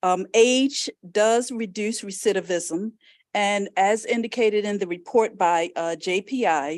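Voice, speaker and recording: At a fairly slow pace, a woman talks in a normal speaking voice of medium pitch with ordinary pitch variation. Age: 60s. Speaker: lawyer. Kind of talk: legislative testimony.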